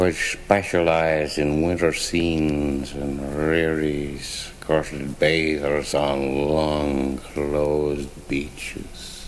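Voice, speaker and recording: Over noticeable background noise, a man with a very deep, low pitch talks very slowly and monotonously, with hardly any pauses. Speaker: author reading own work. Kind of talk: spoken-word fable reading. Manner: slurred, hard to follow.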